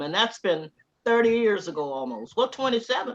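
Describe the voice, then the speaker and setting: Here a woman speaks with a Southern US accent. Her pitch swings very widely. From US South, Georgia and Tallahassee, Florida. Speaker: interviewee, former graduate student. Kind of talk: oral history interview. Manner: animated storytelling.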